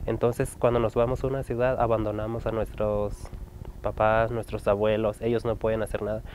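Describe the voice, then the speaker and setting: A man's medium-pitched voice, monotone and flat, at a moderate pace, dry with no echo, over light background noise. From Chihuahua, Mexico. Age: young. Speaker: interviewee. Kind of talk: interview testimony. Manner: halting, many fillers. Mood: serious, concerned.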